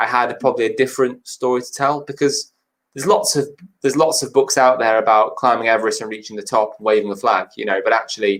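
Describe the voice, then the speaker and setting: In a northern English accent, a man talks at a very fast pace. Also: medium pitch for a man, ordinary pitch variation. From Cheshire, England. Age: 20s. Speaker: mountaineer and motivational speaker. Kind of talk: interview answer.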